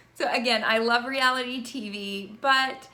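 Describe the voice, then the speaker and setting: With audible room echo and noticeable background noise, a woman with an American accent speaks in fairly even intonation. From Virginia, US South. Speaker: university instructor. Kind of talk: course introduction video. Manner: conversational.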